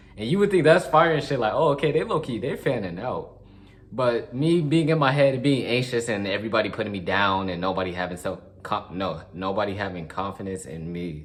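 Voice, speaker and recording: Audible room echo surrounds a man talking at a fairly quick pace. His medium-pitched voice moves in very wide pitch swings. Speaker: vlogger. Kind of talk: casual monologue. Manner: fast.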